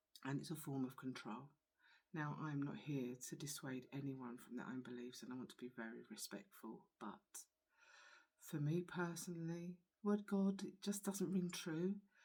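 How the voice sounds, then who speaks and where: A woman talks with a very deep, low pitch and a dark, mellow tone. Her intonation is lively and her pace moderate. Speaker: spiritual channeller. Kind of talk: personal testimony vlog. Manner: soft-spoken, quiet; halting.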